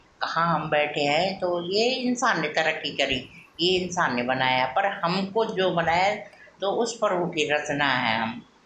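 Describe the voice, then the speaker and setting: A woman with fairly low pitch and lively intonation, amid noticeable background noise. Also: very even loudness. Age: 50s. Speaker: vlogger. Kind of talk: casual devotional talk. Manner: halting, with fillers.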